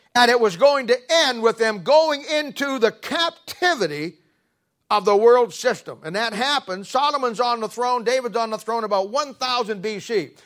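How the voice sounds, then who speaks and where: The intonation is lively. The pace is moderate. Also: man, extremely high pitch for a man. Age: 70s. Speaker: pastor. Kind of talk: sermon. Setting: church. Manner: halting.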